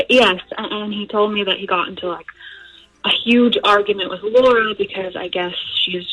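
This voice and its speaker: Against noticeable background noise, a woman with a medium pitch speaks at a moderate pace with fairly even intonation. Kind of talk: phone call to a radio show. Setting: phone line. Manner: conversational, explaining a family problem.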